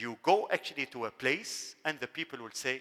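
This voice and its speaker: With an Arabic accent, a man speaks in a bright, sharp tone with very wide pitch swings. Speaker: university dean. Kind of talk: lecture.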